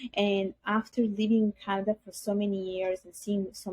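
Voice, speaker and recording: A woman's somewhat breathy voice at a moderate pace, dry and close with no echo. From Italy, Bangladeshi parents. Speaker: podcast guest. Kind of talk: interview testimony.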